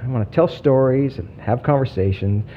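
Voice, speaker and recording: There is a somewhat breathy quality to the man's voice as he talks at a moderate pace with ordinary pitch variation. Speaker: podcast host. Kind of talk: scripted-style trailer, storytelling intro. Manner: stumbling, pausing often, speeds up when excited; halting with long pauses.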